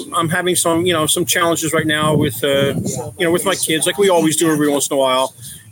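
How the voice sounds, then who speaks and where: Noticeable background noise sits behind a man with an American accent. He speaks fairly quickly at a fairly high pitch with ordinary pitch variation. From Philadelphia area, US. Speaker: adoptive father, IT worker. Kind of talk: casual interview chat.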